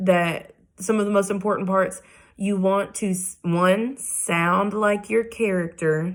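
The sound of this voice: This unforced reading voice holds a fairly even intonation.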